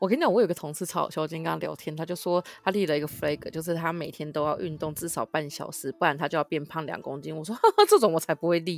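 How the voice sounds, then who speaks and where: A woman speaks at a very fast pace in a fairly low voice. Her intonation stays fairly even. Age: 30s. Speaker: podcast co-host. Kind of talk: casual chat.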